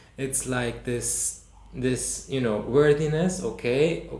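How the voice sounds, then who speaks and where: A man speaks with ordinary pitch variation. Audible room echo and noticeable background noise come through. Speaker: movement and healing workshop teacher. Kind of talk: online workshop talk. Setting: online session with screen share. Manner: halting, many restarts and fillers.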